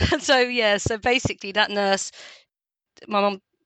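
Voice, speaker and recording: Animated tone from a woman at medium pitch, with a strong London accent. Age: 40s. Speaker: lived experience ambassador. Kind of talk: casual interview chat. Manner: talkative, animated.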